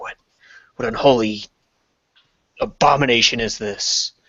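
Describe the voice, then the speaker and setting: Putting on a character voice, a man speaks in a raspy, medium-pitched tone. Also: moderate pace. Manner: muttering.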